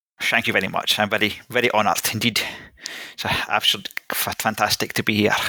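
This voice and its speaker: Talking at a very fast pace in a Scottish accent, a man keeps a monotone, flat intonation and a fairly low pitch. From Scotland (Greek-born, moved at three). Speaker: investor and podcaster. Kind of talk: casual interview chat.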